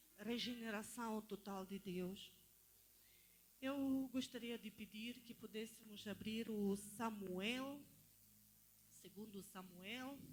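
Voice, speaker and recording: Speaking very slowly with long, frequent pauses, a woman with a non-native accent has a fairly high, somewhat breathy voice and fairly even intonation. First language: not Portuguese (speaking Portuguese). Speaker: lay preacher. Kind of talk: sermon. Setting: church.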